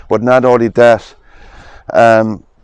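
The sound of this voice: A man speaks slowly in a clear, smooth tone. His pitch shows little movement. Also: medium pitch for a man.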